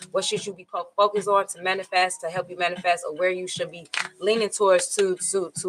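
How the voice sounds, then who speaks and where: Over noticeable background noise, a woman with a medium pitch talks at a very fast pace in a monotone, flat intonation with big swings in loudness. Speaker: tarot reader. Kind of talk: tarot reading. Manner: casual, repetitive.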